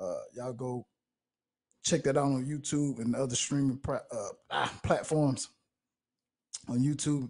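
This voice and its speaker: A man speaks in a fairly high, somewhat breathy voice with flat, monotone intonation. He leaves long, frequent pauses. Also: fairly slow pace. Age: 20s. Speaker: podcast host. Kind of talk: casual chat.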